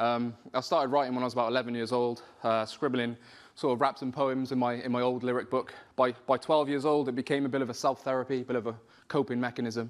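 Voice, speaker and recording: In a Welsh accent, a man talks at a very fast pace with a medium pitch and monotone, flat intonation over a quiet background. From South Wales. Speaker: spoken word poet and rapper. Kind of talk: personal story told to an audience. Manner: hesitant, conversational. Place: hall.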